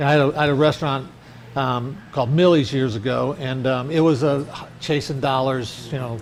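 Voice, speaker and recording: A man's medium-pitched voice, fairly quick with fairly even intonation, in audible room echo. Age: 60s. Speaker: restaurant owner. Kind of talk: interview. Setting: restaurant.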